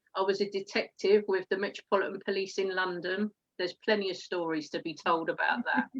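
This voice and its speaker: A woman with an Essex accent speaks at a fairly quick pace, her medium-pitched voice keeping fairly even intonation. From England, Essex. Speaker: network marketer, former police detective. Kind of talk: interview. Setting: live stream video call.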